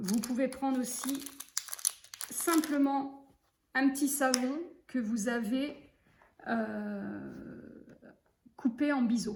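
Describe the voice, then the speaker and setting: A woman with a high voice talks at a very slow pace, leaving long, frequent pauses, her intonation fairly even. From western France, Loire-Atlantique. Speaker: sewing teacher. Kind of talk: tutorial. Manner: relaxed, hesitant with fillers.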